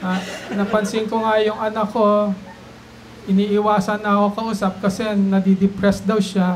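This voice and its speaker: Over light background noise, a man with a high pitch speaks fairly slowly in a flat monotone. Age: old. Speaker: stand-up comedian, doctor. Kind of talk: stand-up comedy set. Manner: soft-spoken, low energy. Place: bar. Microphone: handheld.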